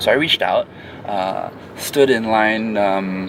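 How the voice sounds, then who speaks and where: A man speaks over noticeable background noise. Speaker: travel vlogger in a payments challenge. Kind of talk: casual vlog narration. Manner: halting, many fillers and restarts.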